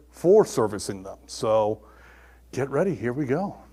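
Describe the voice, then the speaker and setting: A man talks loudly at a fairly slow pace. The recording is very clean, with a silent background. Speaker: technical trainer. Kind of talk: technical presentation. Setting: classroom with audience. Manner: animated.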